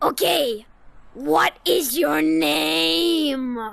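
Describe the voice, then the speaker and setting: In a put-on character voice, a man talks at a high pitch with very wide pitch swings. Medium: machinima. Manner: exasperated, blunt.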